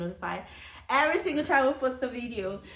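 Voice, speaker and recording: A voice speaks at a very fast pace with ordinary pitch variation over noticeable background noise. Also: woman. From Nigeria. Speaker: YouTuber. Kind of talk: casual interview.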